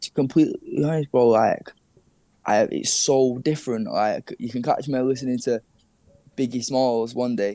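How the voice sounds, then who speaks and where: Speaking with a northern English accent at a moderate pace, a man has a medium pitch, fairly even intonation and a dark, mellow tone, captured with a dry, close sound and no echo. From Manchester, northern England. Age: 20s. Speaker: rapper. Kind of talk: interview. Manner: casual, slangy.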